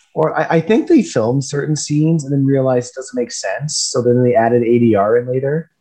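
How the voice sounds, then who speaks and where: This man's voice is somewhat breathy, with a fairly high pitch. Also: ordinary pitch variation, fairly quick pace. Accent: Canadian. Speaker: podcast guest. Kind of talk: casual chat.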